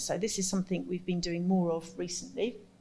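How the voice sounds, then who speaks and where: A woman's somewhat breathy voice sits at a fairly low pitch. There is audible room echo. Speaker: carnival arts workshop facilitator. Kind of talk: conference presentation. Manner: soft-spoken.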